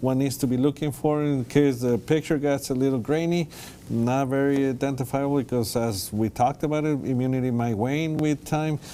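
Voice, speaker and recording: The speaker keeps a fairly even intonation at a fairly quick pace. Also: man. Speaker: infectious disease physician. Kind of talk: TV panel interview. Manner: fast.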